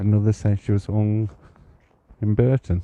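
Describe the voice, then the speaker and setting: A man speaks quietly at a fairly slow pace, with a dark, mellow tone and fairly low pitch, in a dry, close sound with no echo. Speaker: psychic medium and ghost walk guide. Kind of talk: live-streamed ghost walk narration. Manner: hushed, kept quiet.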